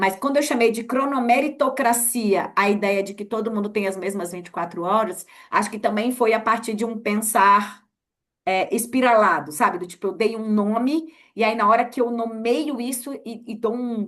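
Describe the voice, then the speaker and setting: The speaker moves at a moderate pace with ordinary pitch variation and big swings in loudness. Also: woman, fairly high pitch for a woman. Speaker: journalist and researcher. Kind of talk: casual interview chat. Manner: halting, many fillers and repeats.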